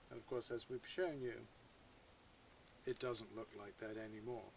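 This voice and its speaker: Here a man with an English accent talks at a moderate pace with ordinary pitch variation. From England. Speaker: YouTuber. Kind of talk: tutorial. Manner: hesitant, many fillers.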